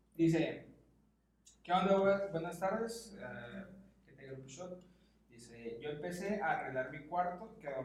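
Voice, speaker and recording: Amid audible room echo, a man speaks at a very slow pace in a high pitch. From Mexicali, Baja California, Mexico. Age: 20s. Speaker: podcast co-host. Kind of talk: casual chat.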